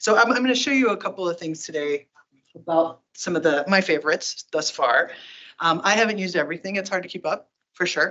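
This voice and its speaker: Talking at a very fast pace, a woman keeps a medium pitch with ordinary pitch variation. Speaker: tech company community advocate giving a talk. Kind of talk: presentation to user group. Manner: animated.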